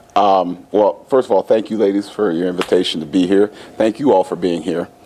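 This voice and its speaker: Fairly quick speech with an American accent and ordinary pitch variation, over noticeable background noise. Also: man, fairly low pitch for a man. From US, western Pennsylvania (Meadville). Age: 50s. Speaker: school administrator and educator. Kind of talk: studio interview. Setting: studio. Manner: halting, many fillers.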